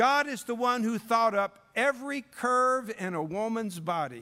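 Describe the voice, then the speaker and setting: A man's raised, projected voice, high-pitched, bright and sharp, with very wide pitch swings and a fairly slow pace. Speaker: preacher. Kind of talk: sermon. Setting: church revival service. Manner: warm, folksy storyteller opening with jokes; earnest, didactic and pleading, building to prayer.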